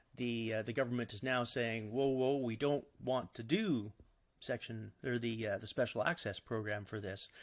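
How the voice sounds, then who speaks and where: In a plain, everyday voice with a Canadian accent, a man speaks at medium pitch and a fairly slow pace with fairly even intonation, recorded very cleanly against a silent background. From Canada. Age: 50s. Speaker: cancer patient and psilocybin therapy advocate. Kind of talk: podcast interview answer.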